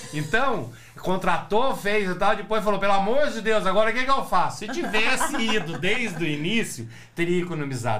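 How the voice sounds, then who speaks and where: With noticeable background noise and audible room echo, a man speaks in an animated tone marked by very wide pitch swings. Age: 60s. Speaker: psychoanalyst. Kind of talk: casual chat.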